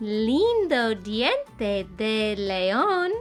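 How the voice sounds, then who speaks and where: A woman performs a put-on character voice. Clear music plays in the background. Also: fairly high pitch for a woman. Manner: silly, sing-song.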